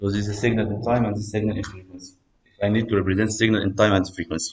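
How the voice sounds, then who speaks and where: In an Arabic accent, a man talks very fast in a fairly low, somewhat breathy voice with monotone, flat intonation. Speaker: university lecturer. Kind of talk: lecture. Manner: code-switching English and Egyptian Arabic.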